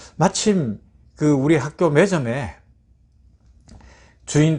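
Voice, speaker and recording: Fairly high-pitched male speech over a quiet background. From Gyeongsang province, South Korea. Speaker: pastor. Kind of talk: sermon.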